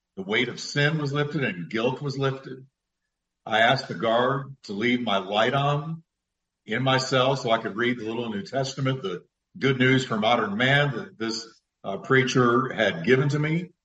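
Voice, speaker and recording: He speaks at a moderate pace, his pitch medium for a man. This man has an unremarkable speaking voice, and his pitch varies in an ordinary way. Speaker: pastor and radio speaker. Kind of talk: live call-in Bible Q&A. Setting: studio, live radio show.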